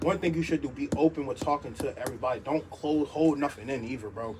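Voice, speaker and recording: A man with a fairly high pitch and ordinary pitch variation talks at a fairly quick pace over noticeable background noise. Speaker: social media creator. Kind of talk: motivational monologue. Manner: fast; loud.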